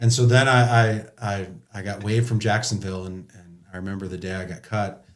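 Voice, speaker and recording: Audible room echo surrounds a man's fairly low voice as he speaks at a fairly quick pace with big swings in loudness. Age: 40s. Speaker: former pro football player. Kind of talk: casual chat. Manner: animated.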